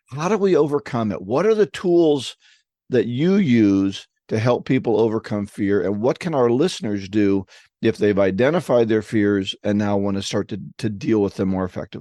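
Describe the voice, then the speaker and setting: The man's voice has a dark, mellow tone at a medium pitch with lively intonation. The sound is dry and close with no echo, against a quiet background. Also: moderate pace. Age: 60s. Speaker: podcast co-host, sales coach. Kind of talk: podcast interview.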